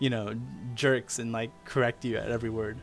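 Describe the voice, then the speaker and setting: Faint music plays in the background as a man speaks with an American accent. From United States. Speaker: streamer teaching Japanese. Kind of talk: casual live-stream chat. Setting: live stream.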